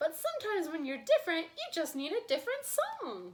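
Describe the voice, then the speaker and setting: A squeaky, put-on character voice with very wide pitch swings at a fairly quick pace. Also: woman, extremely high pitch for a woman. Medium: read story.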